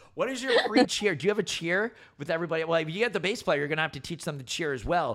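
Speaking very fast in an American accent, a man uses a high voice with an energetic tone and lively intonation. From New Jersey (central). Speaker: radio host. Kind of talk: casual interview. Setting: studio.

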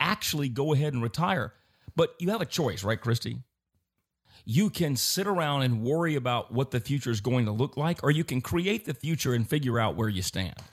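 Somewhat breathy, a man speaks at a moderate pace in a fairly high pitch, with very wide pitch swings. His loudness stays very even over a quiet background. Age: 50s. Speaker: investment advisor. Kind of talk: casual chat.

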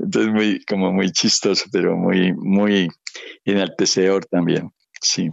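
A man speaks with monotone, flat intonation. His pitch is fairly low. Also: fairly slow pace, very even loudness. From Colombia, Caribbean coast. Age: 70s. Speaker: historian and educator. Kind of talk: interview testimony. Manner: halting.

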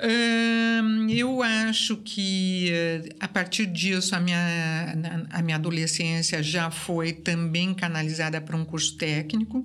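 Against noticeable background noise, a woman speaks very slowly in a fairly low voice with ordinary pitch variation. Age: 60s. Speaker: artist. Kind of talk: casual interview.

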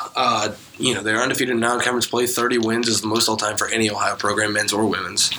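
Over noticeable background noise, a man with a medium pitch rattles along at a very fast pace in a monotone, flat intonation. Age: young. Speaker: student sports editor. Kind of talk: casual chat.

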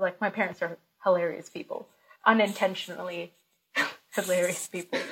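A woman's bright, sharp voice at a moderate pace. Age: 30s. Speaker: comedian. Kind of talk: casual chat. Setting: video call.

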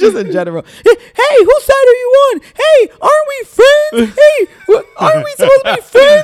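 The speaker uses a put-on character voice that is squeaky and extremely high in pitch. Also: moderate pace. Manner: whiny, wheedling.

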